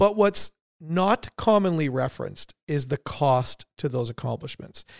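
On a very clean recording with a silent background and a dry, close sound with no echo, a man speaks in a normal speaking voice at a fairly high pitch with ordinary pitch variation. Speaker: podcast host. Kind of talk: interview.

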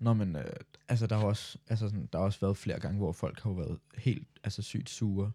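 Recorded very cleanly against a silent background, a man speaks with a dark, mellow tone and fairly low pitch. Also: ordinary pitch variation, fairly quick pace. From Denmark. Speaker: podcast co-host, student. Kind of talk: casual chat.

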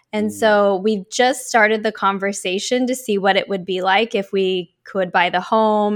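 In a normal speaking voice with an American accent, a woman talks at a medium pitch and moderate pace with fairly even intonation and hardly any pauses, on a very clean recording with a silent background. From US Pacific Northwest (Oregon). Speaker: life coach and speaker. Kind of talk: interview conversation.

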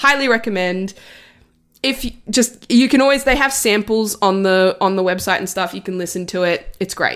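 The pitch moves in an ordinary way. It comes with an Australian accent. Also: woman, medium pitch for a woman, moderate pace. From Italy. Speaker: film podcast guest. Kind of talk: casual chat.

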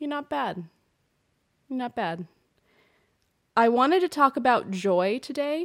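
A woman with an American accent speaks at a fairly slow pace in a high voice, her pitch swinging very widely and her loudness rising and falling sharply, with long, frequent pauses on a very clean recording with a silent background. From US Pacific Northwest. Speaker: podcast host. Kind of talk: solo monologue podcast. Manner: casual, rambling with fillers.

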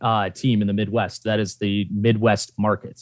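A man talks at a medium pitch and a moderate pace. The recording is very clean with a silent background, dry and close with no echo. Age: 20s. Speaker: college football fan. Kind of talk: casual chat. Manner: formal.

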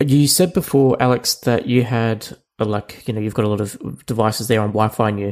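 Here a man talks in an ordinary speaking voice at medium pitch. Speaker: podcast host. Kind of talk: casual chat.

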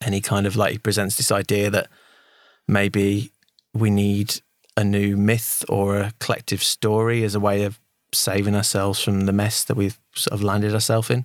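With a British accent, a man talks at a moderate pace in a fairly low, monotone voice with flat intonation and very even loudness, the sound dry and close with no echo. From Britain. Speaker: podcast co-host. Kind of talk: casual chat.

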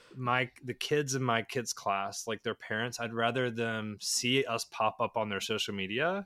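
This man has a medium pitch, a bright, sharp tone, and an American accent, with ordinary pitch variation. The sound is dry and close with no echo, on a very clean recording with a silent background. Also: moderate pace. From Charlotte, North Carolina. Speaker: parent via surrogacy. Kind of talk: interview.

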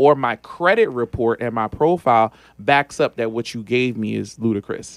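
A man speaks at a medium pitch with ordinary pitch variation in an ordinary speaking voice, recorded very cleanly against a silent background with a dry, close sound and no echo. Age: 40s. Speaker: business credit and funding expert. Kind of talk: interview.

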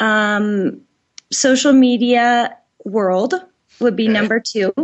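A woman with an American accent speaks at a fairly high pitch with ordinary pitch variation. She has an ordinary speaking voice. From Colorado, US. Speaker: marketing director. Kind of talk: interview.

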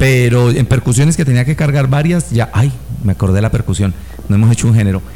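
Over noticeable background noise, a medium-pitched man talks at a very fast pace with very even loudness and ordinary pitch variation. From Colombia, Medellín (paisa). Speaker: musician and band director. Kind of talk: casual chat.

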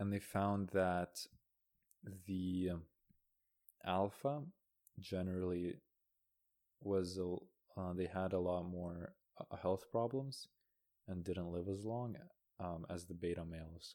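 A man's calm, dark, mellow voice with a Canadian accent, very deep and low in pitch, at a very slow pace with long, frequent pauses and fairly even intonation. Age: 20s. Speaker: podcast guest. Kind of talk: casual chat. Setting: recorded on a laptop with playback.

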